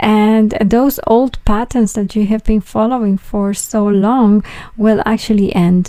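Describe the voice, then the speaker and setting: A woman with a fairly high pitch and a dark, mellow tone talks at a fairly slow pace with fairly even intonation. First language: not English. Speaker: tarot reader. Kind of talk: tarot reading monologue. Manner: halting, with fillers and repetitions.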